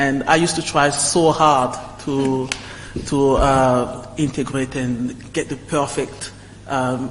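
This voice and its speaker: Over noticeable background noise, a man speaks very slowly with a French accent. His fairly high voice is monotone, with flat intonation. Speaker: alumni panelist. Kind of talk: panel discussion. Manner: halting, repeated words.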